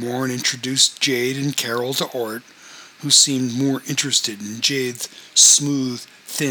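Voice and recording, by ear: Words are read out loud in a natural-sounding voice.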